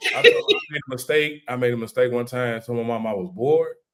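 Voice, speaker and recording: This man talks at a fairly quick pace in a medium pitch, with ordinary pitch variation. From St. Louis, Missouri, US. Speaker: comedian and content creator. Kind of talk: casual podcast interview. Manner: animated storytelling.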